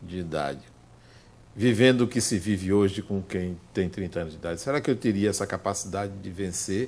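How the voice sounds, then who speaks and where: Here a man talks at a moderate pace and a fairly low pitch. He has an unremarkable speaking voice. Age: 60s. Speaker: spiritist lecturer. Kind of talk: lecture. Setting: spiritist center with audience.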